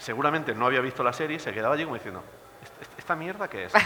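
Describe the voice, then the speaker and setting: Over noticeable background noise, a man with an Alicante accent speaks in a fairly high pitch, with an animated tone and lively intonation. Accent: Villena border. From Spain, Villena (Alicante). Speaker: teacher and film commentator. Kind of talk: panel talk.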